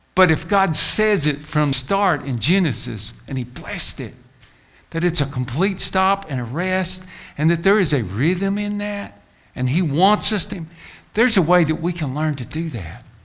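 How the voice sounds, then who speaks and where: Audible room echo surrounds a man who speaks at a high pitch and a moderate pace with lively intonation. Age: 60s. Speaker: pastor. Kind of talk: sermon.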